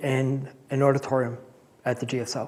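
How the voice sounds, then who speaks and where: A man's fairly high voice with a Rhode Island accent. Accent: Rhode Island accent, somewhat cleaned up. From Rhode Island (Cranston). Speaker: scientist giving a public talk. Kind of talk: public talk.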